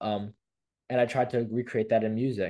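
A man talks at a fairly quick pace with a medium pitch. His tone is dark and mellow, and the background is quiet. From India, raised in New York. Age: young. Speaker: music producer. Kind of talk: casual interview chat.

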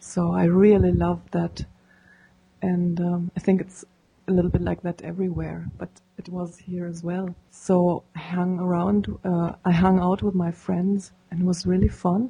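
Slow-paced and somewhat breathy, a woman with a German accent speaks in a fairly low pitch with a dark, mellow tone and a monotone, flat intonation. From Germany. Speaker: paraglider pilot. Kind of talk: interview.

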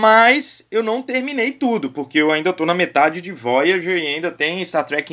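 Lively intonation from a man, bright and sharp in tone, at a moderate pace. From Brazil, Vitória. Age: 30s. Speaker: podcast host. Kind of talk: casual chat.

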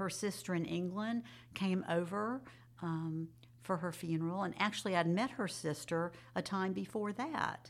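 In a very clean recording with a silent background, a woman with a fairly low pitch talks at a moderate pace with ordinary pitch variation in a plain, everyday voice. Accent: American. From Jacksonville, Florida. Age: 60s. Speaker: retired school counselor, adoptee. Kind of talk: interview, personal testimony.

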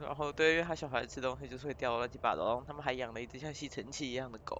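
Intonation is fairly even. The words come very fast. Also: woman. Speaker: podcast co-host. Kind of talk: casual chat.

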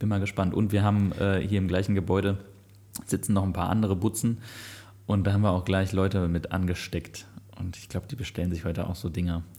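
In a very clean recording with a silent background, a man speaks at a very fast pace with a very deep, low pitch, a dark, mellow tone, and monotone, flat intonation. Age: 30s. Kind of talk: casual chat.

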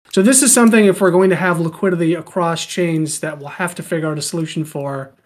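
Extremely rapid talking on a very clean recording against a silent background. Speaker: treasury working group member giving update. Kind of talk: presentation update.

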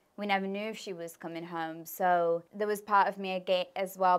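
In an English Midlands accent, a woman of medium pitch speaks at a moderate pace with monotone, flat intonation. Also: very clean recording, silent background. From English Midlands (Birmingham, then Leicester). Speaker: spiritual coach. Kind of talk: interview.

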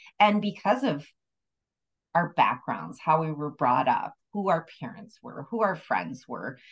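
Using vocal fry, a woman with a fairly low pitch talks at a fairly slow pace, her pitch swinging very widely. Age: 60s. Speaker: podcast co-host. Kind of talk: casual chat.

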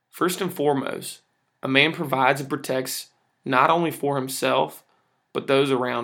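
In a very clean recording with a silent background, a man speaks at a moderate pace in a fairly high, bright, sharp voice with vocal fry and fairly even intonation. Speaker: podcast host. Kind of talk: casual monologue.

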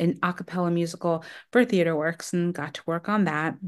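A woman with an ordinary speaking voice talks at a fairly low pitch and moderate pace, with fairly even intonation, against a quiet background. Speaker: casting director. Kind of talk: casual interview chat.

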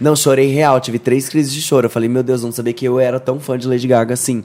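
Medium-pitched male speech, mellow and dark in tone, its intonation fairly even. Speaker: podcast guest. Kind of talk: casual chat.

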